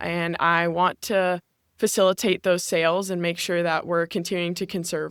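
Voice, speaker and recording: A woman with an American accent speaks at a fairly low pitch in a monotone, flat intonation. The sound is dry and close with no echo, on a very clean recording with a silent background. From Northern California. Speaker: intern and college athlete. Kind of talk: casual interview.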